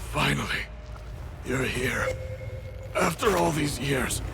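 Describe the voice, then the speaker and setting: A man performs a put-on character voice at a fairly slow pace. Loud background noise runs behind him. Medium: machinima. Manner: halting, broken phrases.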